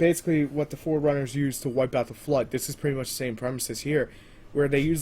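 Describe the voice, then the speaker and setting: A man's voice, pitched fairly high. It sounds somewhat breathy. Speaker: TV episode reviewer. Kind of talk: video review monologue. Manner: animated.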